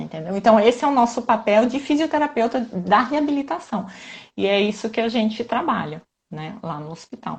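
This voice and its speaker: Her voice is fairly high and somewhat breathy, with lively intonation and big swings in loudness. The woman keeps a moderate pace. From southern Brazil, Santa Catarina. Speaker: physiotherapist. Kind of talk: live stream interview.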